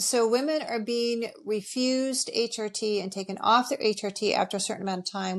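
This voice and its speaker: A woman's fairly high-pitched voice at a moderate pace with ordinary pitch variation, in a very clean recording with a silent background. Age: 60s. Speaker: functional medicine nutritionist. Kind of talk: podcast interview. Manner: animated.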